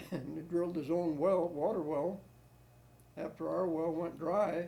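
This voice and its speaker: A man in a US Midwestern accent at a fairly slow pace, high-pitched with a dark, mellow tone and monotone, flat intonation, in audible room echo. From Ohio, Medina. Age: 80s+. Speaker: war veteran. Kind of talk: oral history interview. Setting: at home. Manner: halting.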